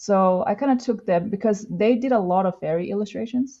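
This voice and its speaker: A woman speaks with a non-native accent. Her pitch variation is ordinary. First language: not English. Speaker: comic artist. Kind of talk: casual interview chat. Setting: live podcast. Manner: halting, many fillers.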